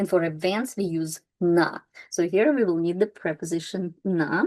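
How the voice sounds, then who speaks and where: A woman's dark, mellow voice at medium pitch with ordinary pitch variation, in a dry, close sound with no echo. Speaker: language teacher. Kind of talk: tutorial. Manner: slow, step by step.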